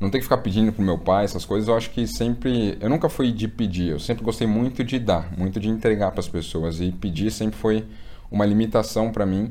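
A man speaks at a fairly low pitch and fairly quick pace, with ordinary pitch variation. Noticeable background noise can be heard. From Brazil, São Paulo. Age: 20s. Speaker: investment content creator. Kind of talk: casual interview chat.

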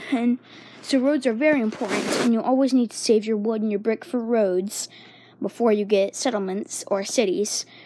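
The voice moves at a moderate pace with ordinary pitch variation, against noticeable background noise. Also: woman, fairly high pitch for a woman. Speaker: podcast host. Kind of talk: casual monologue. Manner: hesitant, many fillers.

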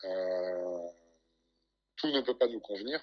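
This man's voice has lively intonation and medium pitch. He talks at a moderate pace. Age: 20s. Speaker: bodybuilding coach and competitive bodybuilder. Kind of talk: casual interview chat.

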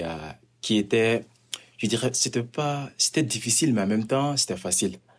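In an ordinary speaking voice, a man talks at a fairly slow pace with a fairly low pitch and ordinary pitch variation. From Mali. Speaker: community worker. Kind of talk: interview.

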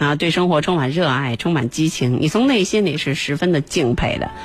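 The intonation is lively. The pace is moderate. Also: woman. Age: 40s. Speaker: radio music show host. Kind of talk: live radio music show presenting. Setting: radio studio, live broadcast. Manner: casual, chatty with frequent fillers.

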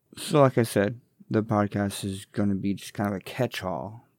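Recorded very cleanly against a silent background, a man talks at a fairly quick pace. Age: 40s. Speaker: podcast host. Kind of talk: casual solo monologue. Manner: rambling, conversational.

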